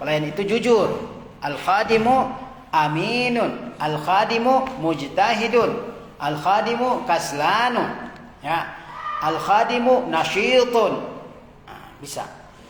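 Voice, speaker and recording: Over noticeable background noise and audible room echo, a man speaks very slowly at a high pitch with lively intonation. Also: big swings in loudness. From Indonesia, outside Java. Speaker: Arabic teacher, Islamic cleric. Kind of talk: lecture. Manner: slow, repetitive drilling.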